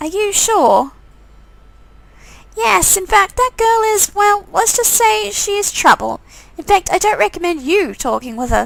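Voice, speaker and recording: A woman's squeaky, put-on character voice at an extremely high pitch, with very wide pitch swings, a moderate pace, and long, frequent pauses. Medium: game stream. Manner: hesitant, stammering.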